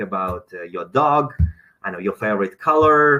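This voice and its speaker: This man talks at a moderate pace. He has a non-native accent. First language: not English. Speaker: dentist. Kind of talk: webinar lecture. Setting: online webinar. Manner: hesitant, many fillers.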